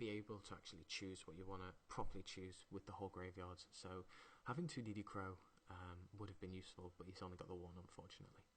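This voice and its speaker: Someone speaks quietly and somewhat breathily at a very fast pace. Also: man. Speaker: card game commentator. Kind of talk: live commentary. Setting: at home, others in next room.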